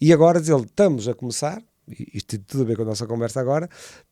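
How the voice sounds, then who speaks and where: A man with a European Portuguese accent talks at a very fast pace, his medium-pitched voice dark and mellow in tone. The sound is dry and close, with no echo. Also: very clean recording, silent background. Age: 60s. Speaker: entrepreneur. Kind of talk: podcast interview. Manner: halting, many repetitions.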